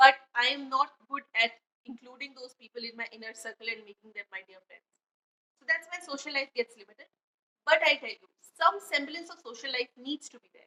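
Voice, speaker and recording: Raising and projecting her voice, a woman talks at a fairly quick pace and a high pitch, with a bright, sharp tone and big swings in loudness, in a dry, close sound with no echo. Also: ordinary pitch variation. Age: 20s. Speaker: podcaster. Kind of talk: casual monologue podcast. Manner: conversational, chatty.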